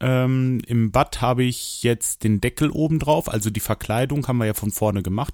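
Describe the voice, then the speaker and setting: Talking at a moderate pace with hardly any pauses, a man keeps a medium pitch and ordinary pitch variation. The sound is dry and close, with no echo. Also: very clean recording, silent background. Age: 40s. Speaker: solo podcaster. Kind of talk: casual monologue. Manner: hesitant, many fillers.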